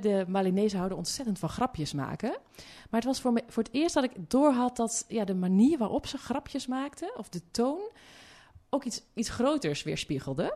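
A dark, mellow tone carries lively intonation at a moderate pace. The background is quiet. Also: woman. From Zeeuws-Vlaanderen, Netherlands (Hulst, farm). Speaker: development philosopher and journalist. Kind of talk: interview conversation. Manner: hesitant, many fillers.

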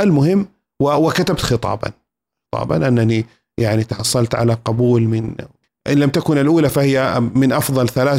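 An unremarkable speaking voice moves at a moderate pace, its pitch varying in an ordinary way. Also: man. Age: 40s. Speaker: university professor. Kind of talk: interview, storytelling. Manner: formal, fluent.

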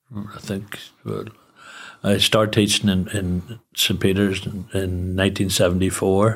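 Speaking very slowly in a Northern Irish accent, a man keeps a monotone, flat intonation at a fairly low pitch. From Northern Ireland, Newry. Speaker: charity founder, retired teacher. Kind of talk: interview.

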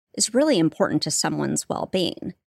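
A woman with a Californian accent speaks in a fairly low voice with vocal fry. The sound is dry and close with no echo, on a very clean recording with a silent background. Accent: General American (Californian). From Southern California, Santa Barbara. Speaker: marketing executive. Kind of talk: interview.

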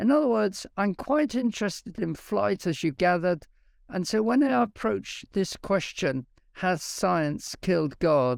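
With a British accent, the voice moves at a fairly slow pace with very wide pitch swings and very even loudness in a very clean recording with a silent background. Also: man, high pitch for a man. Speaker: science professor and creationist speaker. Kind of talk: interview about science and faith. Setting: live video stream.

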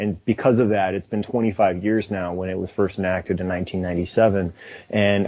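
Speaking with a Chicago accent, a man with a fairly low voice keeps a moderate pace and fairly even intonation. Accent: American (Chicago). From Chicago, US. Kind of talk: casual chat.

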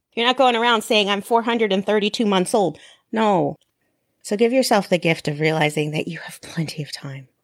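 A woman talks in a normal speaking voice at medium pitch and a fairly quick pace. Her intonation is lively, and her loudness swings widely. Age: 40s. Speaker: podcast host. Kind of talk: solo podcast monologue. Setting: recorded in an online group session.

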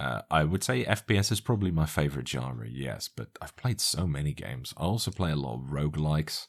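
At a moderate pace, a man with a very deep, low voice and vocal fry speaks with lively intonation. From Netherlands. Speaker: keyboard YouTuber. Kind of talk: casual interview chat.

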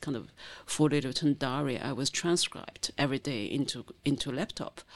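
A woman with a Chinese accent speaks at a very deep, low pitch. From China, rural Zhejiang coast. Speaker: novelist and filmmaker. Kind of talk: interview. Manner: halting.

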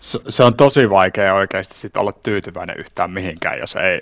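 Vocal fry marks this man's fairly low voice. He speaks at a moderate pace. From Finland, Savo (Siilinjärvi). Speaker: workplace wellbeing coach and entrepreneur, former basketball player. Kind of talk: casual interview chat.

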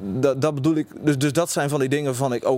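Fairly quick male speech at a medium pitch. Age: 20s. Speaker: university student. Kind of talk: interview. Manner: halting, many repetitions.

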